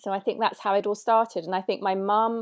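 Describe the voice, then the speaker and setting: A woman with a London accent speaks on a very clean recording with a silent background. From London, England. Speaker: doula and nutritionist. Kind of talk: interview conversation. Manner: hesitant, many fillers.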